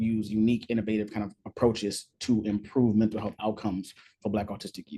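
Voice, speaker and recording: With a dark, mellow tone and fairly low pitch, a man talks at a fairly quick pace. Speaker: researcher, social scientist giving a talk. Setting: online presentation, cannot see audience. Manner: fast talker; enthusiastic about topic.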